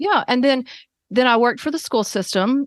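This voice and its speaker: A woman in a Southern US accent with ordinary pitch variation, dry and close with no echo, over a quiet background. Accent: rural Southern US accent, embraced. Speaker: occupational therapist. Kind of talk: interview. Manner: casual, halting with fillers.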